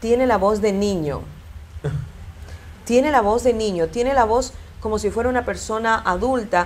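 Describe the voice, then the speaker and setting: A woman talks at a moderate pace, leaving long, frequent pauses. Her fairly high voice shows ordinary pitch variation. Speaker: broadcaster. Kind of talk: interview.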